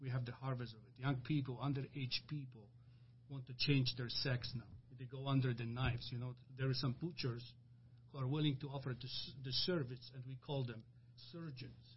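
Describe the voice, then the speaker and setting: A somewhat breathy man talks at a fairly quick pace in a medium pitch, his intonation monotone and flat, with long, frequent pauses. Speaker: church deacon. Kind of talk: religious discussion podcast.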